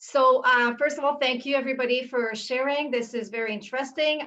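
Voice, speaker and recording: A woman speaks at a moderate pace in a French Canadian accent. Her pitch sits high and her intonation stays fairly even. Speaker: university instructor. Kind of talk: panel discussion.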